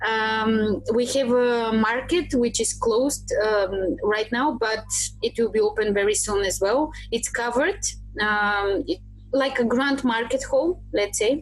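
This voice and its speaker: A woman with a Bulgarian accent at a fairly slow pace, very even in loudness, with music in the background. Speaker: tour guide. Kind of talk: podcast interview answer. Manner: passionate, positive.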